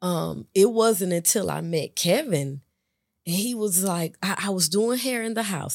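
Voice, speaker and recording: Speaking at a fairly slow pace with lively intonation, a woman with an American accent has a plain, everyday voice, captured in a very clean recording with a silent background. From West Palm Beach, Florida and Georgia. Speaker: hair stylist. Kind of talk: testimony.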